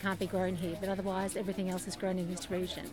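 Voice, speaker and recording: This is a woman's voice. It comes with an Australian accent. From Sydney, Australia. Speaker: farmers market worker. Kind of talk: interview.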